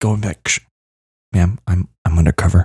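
A somewhat breathy man talks at a very fast pace, with a dry, close sound and no echo. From Kentucky. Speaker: podcast co-host. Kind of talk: casual chat.

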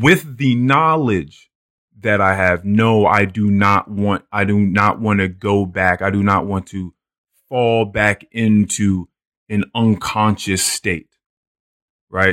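In a very clean recording with a silent background and a dry, close sound with no echo, a man with a fairly low pitch speaks at a very slow pace with ordinary pitch variation. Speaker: podcast host. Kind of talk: casual chat.

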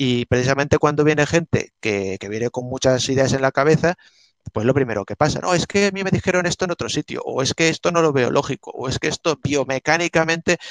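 A man rattles along at a very fast pace with ordinary pitch variation, the sound dry and close with no echo. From Spain, Alicante (Benissa). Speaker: art historian and martial arts teacher. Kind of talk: interview. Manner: halting.

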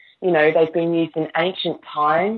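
This woman has a fairly low pitch. She speaks with an Australian accent. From Queensland, Australia. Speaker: novelist. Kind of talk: interview.

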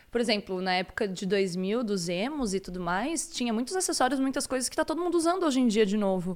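Barely pausing, a woman talks at a very fast pace in a fairly high pitch with very wide pitch swings. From Santa Catarina, Brazil. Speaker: podcast co-host. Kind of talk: casual chat. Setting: live stream.

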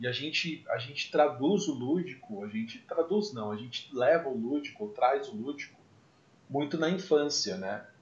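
With an ordinary speaking voice, a man talks at a moderate pace, his fairly high pitch carrying lively intonation. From Brazil, Mococa (São Paulo state). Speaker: podcast host, musician. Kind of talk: casual chat.

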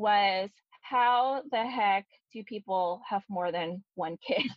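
A woman speaks in an ordinary speaking voice at medium pitch, fairly slowly, with ordinary pitch variation. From US West Coast, San Francisco Bay Area. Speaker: podcast co-host. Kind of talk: casual chat.

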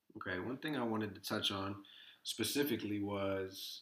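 The speaker is a man with a plain, everyday voice, fairly low in pitch. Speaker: podcast host. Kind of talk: casual interview.

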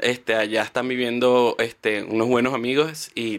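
A man talks with a Venezuelan accent. His pitch sits in the medium range. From Venezuela, Guárico (llanos). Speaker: travel content creator. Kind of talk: casual interview chat.

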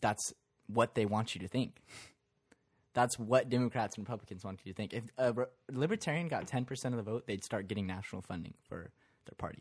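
On a very clean recording with a silent background, a man talks very fast at a medium pitch, his loudness swinging widely. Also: ordinary pitch variation. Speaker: podcast co-host. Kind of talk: casual chat.

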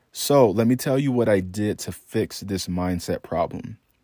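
The tone is dark and mellow, moving at a fairly slow pace with ordinary pitch variation. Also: man, dry, close sound with no echo. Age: 20s. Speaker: podcast host. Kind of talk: solo monologue.

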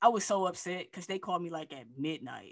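A woman's plain, everyday voice, fairly low in pitch, at a fairly quick pace with ordinary pitch variation, on a very clean recording with a silent background. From Michigan. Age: 30s. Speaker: music executive and life coach. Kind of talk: casual interview.

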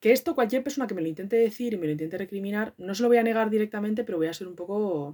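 The speaker's dark, mellow tone and lively intonation come with a Madrid accent. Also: woman. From Madrid, Spain. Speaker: podcaster. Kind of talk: casual monologue. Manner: animated.

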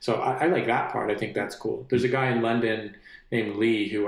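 This voice moves at a moderate pace with fairly even intonation and audible room echo. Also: man. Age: 30s. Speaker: musician. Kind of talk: casual interview. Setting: studio.

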